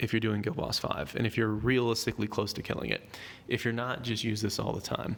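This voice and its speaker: This man speaks at a medium pitch. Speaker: gaming YouTuber. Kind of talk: game tutorial commentary. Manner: fast; casual.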